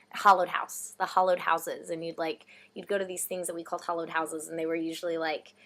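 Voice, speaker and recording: In a Texan accent, the voice rushes at a very fast pace with monotone, flat intonation. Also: woman, fairly low pitch for a woman. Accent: American (Texan). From Texas. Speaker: vlogger, theatre reviewer. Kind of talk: casual chat.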